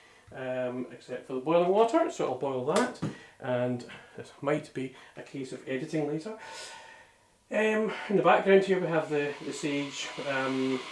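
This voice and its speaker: The speaker mumbles at a fairly slow pace. Background noise is noticeable. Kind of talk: casual talk to camera. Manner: hesitant, mumbling.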